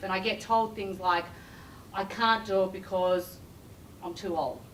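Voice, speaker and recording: A woman speaks in an animated tone at a moderate pace with ordinary pitch variation, against noticeable background noise. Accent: Australian. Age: 50s. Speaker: recruiter and career coach. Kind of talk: corporate keynote talk.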